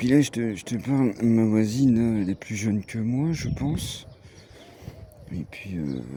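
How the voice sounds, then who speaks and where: In a strong eastern French accent, a man speaks at a medium pitch with a dark, mellow tone and ordinary pitch variation. His pace is fairly slow, broken by long, frequent pauses. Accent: strong regional eastern French. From eastern France (Franche-Comté / Haute-Marne). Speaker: vlogger. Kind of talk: casual vlog chat. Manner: hesitant, many fillers.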